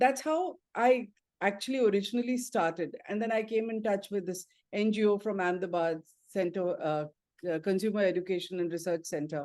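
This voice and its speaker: Against a quiet background, a woman with an ordinary speaking voice talks at a moderate pace and a medium pitch. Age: 60s. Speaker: financial journalist. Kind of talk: interview conversation.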